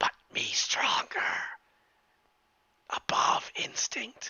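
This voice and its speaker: A raspy, put-on character voice drawls along at a very slow pace. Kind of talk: broken simple speech. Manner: resisting hunger.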